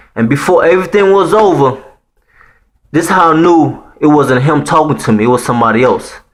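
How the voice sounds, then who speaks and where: Amid audible room echo, a man with a slight Haitian accent speaks at a moderate pace in an animated tone with lively intonation and a fairly high pitch. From Haiti, Port-au-Prince. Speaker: storyteller vlogger. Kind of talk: personal story telling. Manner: animated, casual slang-heavy.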